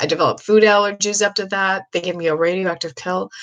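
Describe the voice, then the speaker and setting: A woman is talking. Her tone is animated. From US Midwest, Ohio. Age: 60s. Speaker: psychic medium. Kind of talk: casual livestream monologue. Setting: live video stream.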